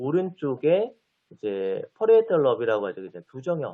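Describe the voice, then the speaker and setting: Using a fairly high pitch, a man talks at a moderate pace. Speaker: physical therapy lecturer. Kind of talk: lecture.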